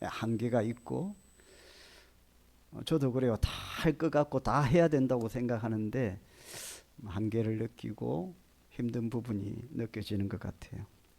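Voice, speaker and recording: A man's medium-pitched voice with vocal fry and ordinary pitch variation, at a fairly slow pace with long, frequent pauses and big swings in loudness, on a very clean recording with a silent background. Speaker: pastor. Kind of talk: sermon. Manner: hesitant, many fillers.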